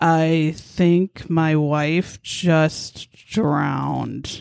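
Using a put-on character voice, a woman speaks with a very deep, low pitch. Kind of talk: calm, matter-of-fact. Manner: flat, monotone, no sign of concern.

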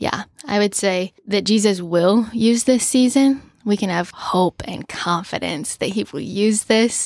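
A woman speaks in a normal speaking voice at a medium pitch. She goes at a fairly slow pace with ordinary pitch variation. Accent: American. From US Midwest, Omaha, Nebraska. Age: 20s. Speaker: podcast guest. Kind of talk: casual chat.

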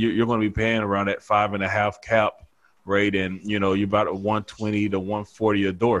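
Over a quiet background, a man with a Southern US accent talks at a fairly quick pace in a fairly low pitch with monotone, flat intonation. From North Carolina. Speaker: former football player and real estate broker. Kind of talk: casual interview. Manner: laid-back, laughs often.

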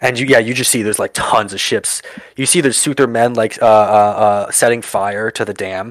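With ordinary pitch variation, a natural reading voice goes through the passage.

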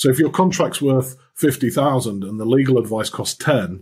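Speaking at a moderate pace with a Yorkshire accent, a man uses a medium pitch, ordinary pitch variation and a somewhat breathy voice. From Yorkshire, northern England. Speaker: finance executive and lecturer. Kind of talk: interview. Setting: remote call over the internet.

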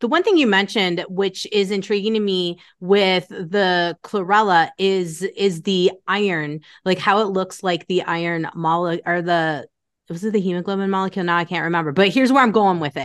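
A woman with a normal speaking voice at a moderate pace, ordinary pitch variation, and a quiet background. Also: medium pitch for a woman. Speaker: podcast host. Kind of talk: casual interview.

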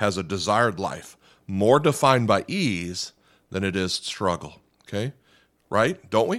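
On a very clean recording with a silent background, a man speaks at a moderate pace in a fairly low pitch. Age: 40s. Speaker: pastor. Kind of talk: sermon. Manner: hesitant, many fillers.

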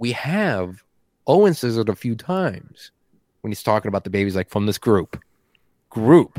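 A man with a medium-pitched voice talks at a moderate pace, leaving long, frequent pauses. His delivery is animated with lively intonation, and the sound is dry and close with no echo. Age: 20s. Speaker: podcast contributor, toy collector. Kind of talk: casual chat.

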